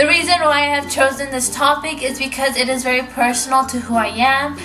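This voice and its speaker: Projecting a raised voice at a high pitch, a woman speaks at a fairly quick pace in a flat monotone, with noticeable background noise. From Canada, immigrant from Spanish-speaking country. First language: Spanish. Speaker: education student. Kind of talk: class presentation.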